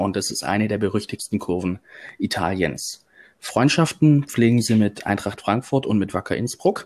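A man's fairly low voice, an ordinary speaking voice, at a moderate pace with ordinary pitch variation, on a very clean recording with a silent background. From Swabia, Germany. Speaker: football fan, groundhopping youtuber. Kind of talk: casual chat.

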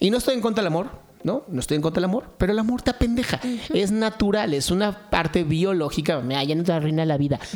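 Talking at a very fast pace, a man with a Mexican accent has a high pitch and lively intonation. Noticeable background noise runs behind him. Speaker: podcast co-host. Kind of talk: casual chat.

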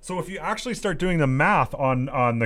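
On a very clean recording with a silent background, a man talks at a fairly quick pace. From Saskatchewan, Canada. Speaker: political talk radio host. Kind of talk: reading news articles aloud with commentary.

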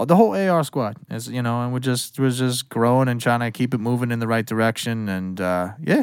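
An unremarkable speaking voice from a man at medium pitch, fairly quick in pace, on a very clean recording with a silent background. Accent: American. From Western Massachusetts. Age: 30s. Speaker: music producer and engineer. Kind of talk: casual chat.

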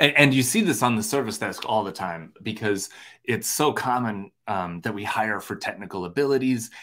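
A man speaks with an Upper Midwest accent. His pace is moderate and his pitch variation ordinary. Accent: Upper Midwest American. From Minnesota. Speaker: podcast host. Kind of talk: casual chat. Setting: video call. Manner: animated.

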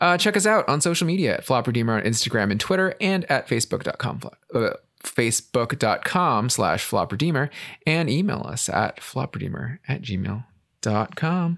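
In a very clean recording with a silent background, a man with a fairly high pitch and vocal fry talks at a moderate pace with very wide pitch swings. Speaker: podcast host. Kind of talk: casual podcast chat about pop music.

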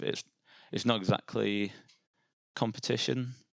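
A man speaks with vocal fry. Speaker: social media copywriter for a brand. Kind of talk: casual interview.

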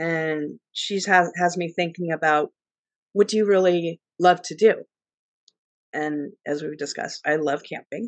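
A woman with an American accent uses a plain, everyday voice, fairly low in pitch and fairly even in intonation at a fairly slow pace. The sound is dry and close with no echo, and the loudness swings widely. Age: 50s. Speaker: travel author. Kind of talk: interview.

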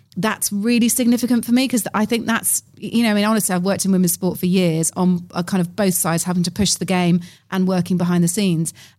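A woman's somewhat breathy voice at medium pitch, very fast, with fairly even intonation and very even loudness, on a very clean recording with a silent background. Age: 40s. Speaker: event host and podcaster. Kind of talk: casual chat. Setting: conference venue.

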